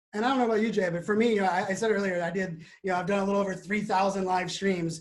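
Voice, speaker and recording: Talking at a very fast pace, a man with a high pitch keeps a fairly even intonation amid audible room echo. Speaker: marketing speaker and live video host. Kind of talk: webinar discussion. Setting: video call, standing up.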